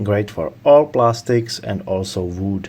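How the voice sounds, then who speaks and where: A speaker with a non-native accent talks at a very slow pace over noticeable background noise. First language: not English. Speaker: tool reviewer. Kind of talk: tool review talk to camera.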